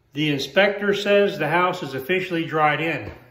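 A man's voice with audible room echo. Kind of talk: casual vlog chat. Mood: cheerful, joking. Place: home room. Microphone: phone near.

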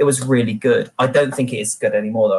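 Here a man talks at a very fast pace. He has a British accent. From Britain. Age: 30s. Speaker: military historian. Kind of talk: panel discussion. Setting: video call. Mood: wry, animated. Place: home room. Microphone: webcam.

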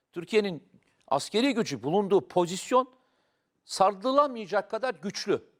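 In a dry, close recording with no echo, a man with a high pitch speaks at a moderate pace in an animated tone with lively intonation. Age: 50s. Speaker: political commentator. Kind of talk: talk show discussion.

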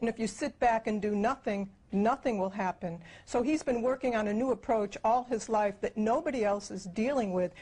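A woman speaks at a moderate pace with a dark, mellow tone and a somewhat breathy quality. Her pitch is fairly high, with ordinary variation. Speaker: co-founder of a futurist project. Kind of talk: interview. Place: home room.

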